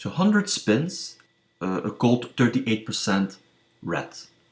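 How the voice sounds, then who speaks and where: With a non-native accent, a man speaks at a fairly slow pace and a medium pitch. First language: not English. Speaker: statistics tutorial youtuber on gambling. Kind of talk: tutorial. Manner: hesitant, many fillers.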